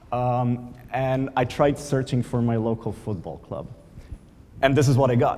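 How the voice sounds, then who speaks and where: Audible room echo surrounds a man with a Slovenian accent who speaks in a dark, mellow tone at a fairly slow pace. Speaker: conference speaker, product manager. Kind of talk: conference talk. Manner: hesitant, many fillers.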